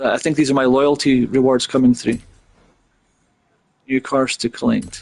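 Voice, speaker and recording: A man with a Scottish Highland accent at a medium pitch and a moderate pace, with fairly even intonation, very even loudness and long, frequent pauses. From Scotland. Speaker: gaming streamer. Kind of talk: live gameplay commentary. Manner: halting, with many fillers and repeats.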